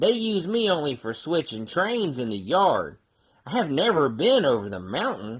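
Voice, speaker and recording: In a put-on character voice with a middle pitch, the speaker's pitch swings very widely. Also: moderate pace. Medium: read story. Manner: kind, gentle.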